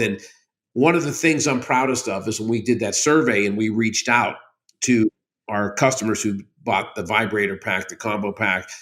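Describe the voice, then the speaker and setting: A man speaks in an ordinary speaking voice at a moderate pace with ordinary pitch variation, on a very clean recording with a silent background. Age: 60s. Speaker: company CEO. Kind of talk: interview.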